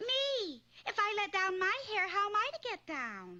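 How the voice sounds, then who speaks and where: This is a cartoonish character voice. It moves at a moderate pace. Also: female-sounding voice, extremely high pitch for a woman. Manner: dry, sarcastic.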